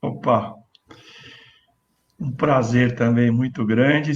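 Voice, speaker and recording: Talking at a very slow pace, a man holds a medium pitch. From Brazil, rural interior of São Paulo state. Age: 60s. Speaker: engineer and former city official. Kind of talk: panel discussion.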